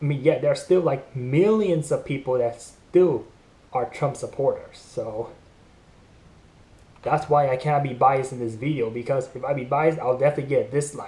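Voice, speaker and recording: This man has a fairly high pitch and a dark, mellow tone. His voice is somewhat breathy. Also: ordinary pitch variation. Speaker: YouTuber commenting on news. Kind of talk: casual vlog commentary. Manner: fast.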